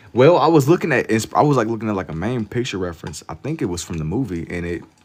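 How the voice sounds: A fairly quick-paced man's voice with a slightly mellow tone.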